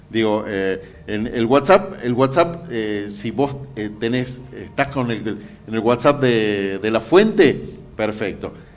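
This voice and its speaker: Speaking at a very slow pace, the man has a medium pitch. His pitch variation is ordinary. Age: 50s. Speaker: journalist. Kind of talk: interview. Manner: hesitant, many fillers.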